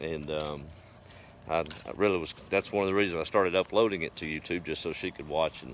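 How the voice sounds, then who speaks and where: Pitched very deep and low, a man with a Texas accent speaks in a relaxed tone with ordinary pitch variation. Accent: Texas drawl. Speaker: rural vlogger. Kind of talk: casual live stream chat. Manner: relaxed, folksy.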